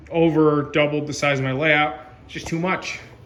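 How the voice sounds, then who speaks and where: A man with a fairly high pitch speaks in a monotone, flat intonation, with audible room echo and noticeable background noise. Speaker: model railroad hobbyist video host. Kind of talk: casual video walkthrough. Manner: casual with fillers.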